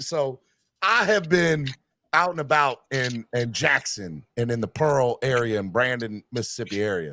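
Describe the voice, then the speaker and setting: On a very clean recording with a silent background, a man with a slight Southern US accent speaks in a bright, sharp, animated tone with very wide pitch swings. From North Carolina. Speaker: sports podcast host. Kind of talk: casual chat.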